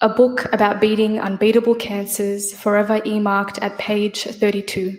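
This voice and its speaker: A woman with an Australian accent, fairly high in pitch, speaking at a very slow pace. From Australia, Sydney. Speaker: poet. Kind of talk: poetry reading.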